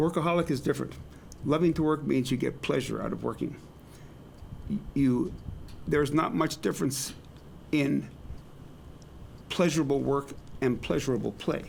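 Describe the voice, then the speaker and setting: A man's fairly high voice with vocal fry, broken by long, frequent pauses. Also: ordinary pitch variation, moderate pace. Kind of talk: interview.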